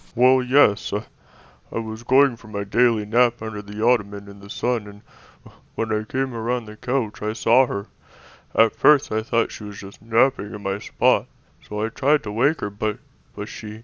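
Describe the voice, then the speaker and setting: Using a put-on character voice, a man speaks at a moderate pace and a medium pitch. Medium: audio drama. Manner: hesitant, stammering.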